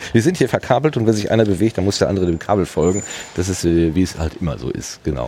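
A man with a very deep, low pitch, very fast pace and lively intonation, over noticeable background noise. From Germany, Ruhr area (Hattingen). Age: 50s. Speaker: podcast host. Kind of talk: casual chat. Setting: outdoors.

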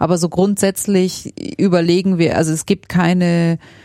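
This woman's voice sits at a fairly low pitch with a dark, mellow tone. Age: 30s. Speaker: engineer and podcast co-host. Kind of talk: casual interview conversation. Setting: home study room.

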